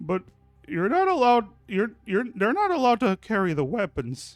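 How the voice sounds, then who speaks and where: A man's put-on character voice, high-pitched with very wide pitch swings, at a moderate pace, dry and close with no echo, faint music in the background. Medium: actual play.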